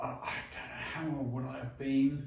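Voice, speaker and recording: Here a man speaks at a medium pitch with a southern English accent. Noticeable background noise and audible room echo are present. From southwest London, England. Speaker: entrepreneur. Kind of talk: interview. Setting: garden pavilion at home. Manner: halting, many fillers and restarts.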